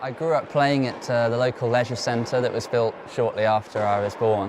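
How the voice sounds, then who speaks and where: Through noticeable background noise, a medium-pitched man speaks at a moderate pace with fairly even intonation. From southern England, Oxfordshire. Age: 20s. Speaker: professional tennis player. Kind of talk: interview.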